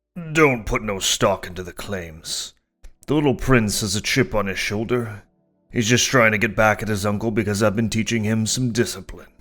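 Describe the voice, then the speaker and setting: Over faint music in the background, a man uses a put-on character voice with a fairly low pitch at a moderate pace. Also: ordinary pitch variation. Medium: read story. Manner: blustering, stammering when angry.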